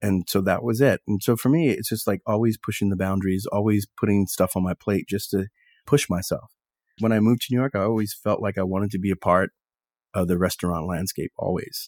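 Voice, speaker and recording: In an American accent, a man with an ordinary speaking voice talks at a fairly quick pace, his fairly low pitch showing ordinary variation, the sound dry and close with no echo. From Texas. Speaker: sommelier and restaurateur. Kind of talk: interview conversation.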